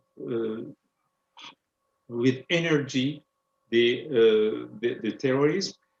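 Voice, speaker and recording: A man with a French accent, medium pitch, a very slow pace and long, frequent pauses. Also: ordinary pitch variation. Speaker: president of an Islamic foundation. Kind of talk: panel discussion. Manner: halting.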